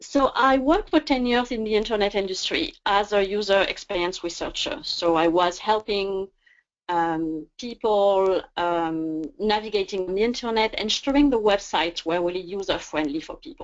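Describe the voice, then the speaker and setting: The speaker has a French accent and lively intonation. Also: woman, medium pitch for a woman, moderate pace. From France. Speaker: career coach. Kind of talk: webinar presentation. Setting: online webinar.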